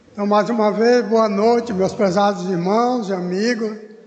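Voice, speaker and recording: A high-pitched man speaks fairly slowly in a monotone, flat delivery. Audible room echo and noticeable background noise surround him. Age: 80s+. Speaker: church elder, lay preacher. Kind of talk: sermon. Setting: church service.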